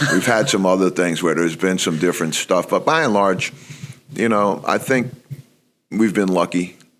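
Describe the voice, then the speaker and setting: With a New York accent, a man speaks in a very deep, low pitch at very even loudness. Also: ordinary pitch variation, moderate pace. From New York (Bronx). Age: 60s. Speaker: college basketball coach. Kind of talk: podcast interview.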